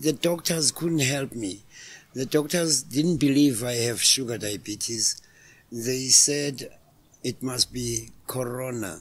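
The pitch of this man's voice varies in an ordinary way. He speaks very slowly. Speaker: podcast guest. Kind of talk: interview answer. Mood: somber, recounting illness. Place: garden. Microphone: studio mic.

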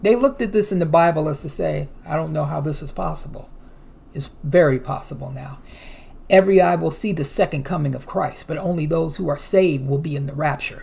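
A woman with a very deep, low pitch and ordinary pitch variation talks at a fairly quick pace, her loudness swinging widely. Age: 50s. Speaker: news commentary youtuber. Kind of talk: reading news articles aloud with commentary. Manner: casual, hesitant with fillers. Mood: earnest, preaching tone. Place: home room. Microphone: webcam.

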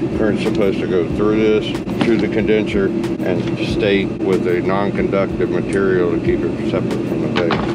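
Loud background noise runs through the clip. The speaker talks at a moderate pace. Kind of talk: casual technical explanation. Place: garage. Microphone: phone near.

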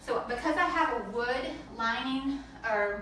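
A woman talks with ordinary pitch variation over light background noise, with audible room echo. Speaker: home cleaning demonstrator. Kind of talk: tutorial. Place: bathroom. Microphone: camera far.

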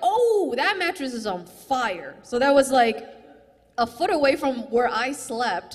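A woman with a high pitch talks at a fairly slow pace, her intonation lively. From China, later raised in US Midwest. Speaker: stand-up comedian. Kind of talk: stand-up. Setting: stage with audience. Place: stage. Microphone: handheld.

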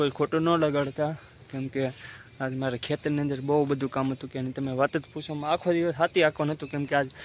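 The man's voice sits fairly high and his intonation is monotone and flat. The sound is dry and close, with no echo. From Gujarat, Saurashtra (Bhavnagar district). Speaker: farmer and village vlogger. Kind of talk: casual vlog talk to camera. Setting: outdoors on a farm, then at home.

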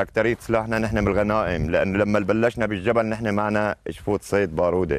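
Speaking with a Latakia accent, a man talks at a moderate pace in a fairly low pitch. The sound is dry with no echo. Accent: Latakia city dialect. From Syria, Latakia; Syria. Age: old. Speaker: rebel fighter. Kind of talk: field interview. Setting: outdoors in a village. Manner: animated, joyful. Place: street. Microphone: camera far.

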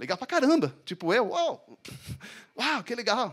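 In a quiet background, a man with a French accent speaks in an animated tone. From France. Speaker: bassist and music business teacher; music business teacher. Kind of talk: talk to live audience. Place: stage. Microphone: handheld.

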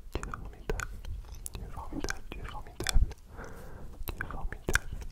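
The speaker is a man, and he whispers. He keeps a moderate pace. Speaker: ASMR creator. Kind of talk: ASMR soft affirmations. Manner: muffled whisper through cupped hands. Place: home room. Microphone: studio mic.

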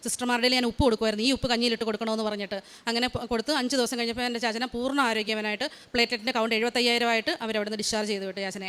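A woman's high-pitched voice. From Kerala, India (Haripad, Alappuzha). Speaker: nurse. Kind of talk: testimony. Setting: church.

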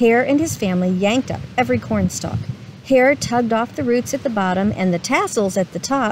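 Someone reads aloud plainly here.

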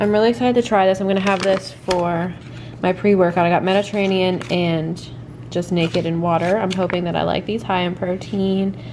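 The speech goes at a moderate pace with noticeable background noise. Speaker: vlogger. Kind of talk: casual vlog chat. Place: kitchen. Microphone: phone near.

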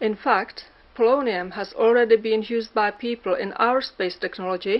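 The intonation of this woman holds fairly level. She goes at a moderate speed. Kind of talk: interview answer. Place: office.

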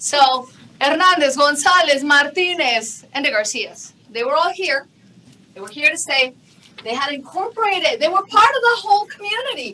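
A woman speaks in a raised, projected voice, high in pitch, at a moderate pace. Her pitch swings very widely and her loudness shifts a lot. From Mexico. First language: Spanish. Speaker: TV news anchor and journalist. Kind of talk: keynote presentation. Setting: conference stage with audience. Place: hall.

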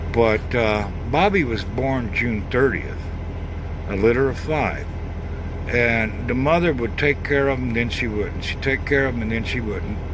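Noticeable background noise sits behind a man speaking at a moderate pace in a dry sound with no echo. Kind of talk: casual vlog chat. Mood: warm, grateful, humble. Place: car. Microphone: phone near.

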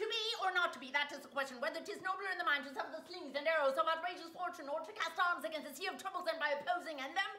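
A woman speaks in a raised, projected voice with a bright, sharp tone and ordinary pitch variation. She goes at a very fast pace with hardly any pauses, and audible room echo surrounds her. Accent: American. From Wisconsin. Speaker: comedy vlogger. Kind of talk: casual talk to camera. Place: kitchen. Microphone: phone near.

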